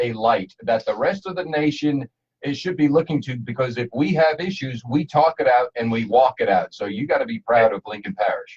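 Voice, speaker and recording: This man's voice is somewhat breathy and fairly high-pitched, moving at a moderate pace with lively intonation in a dry, close sound with no echo. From New Jersey. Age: 60s. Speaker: radio host. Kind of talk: radio interview. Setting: studio.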